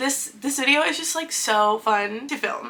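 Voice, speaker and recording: A high-pitched woman speaks with lively intonation over noticeable background noise. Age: 20s. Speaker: book youtuber. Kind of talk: casual talk to camera.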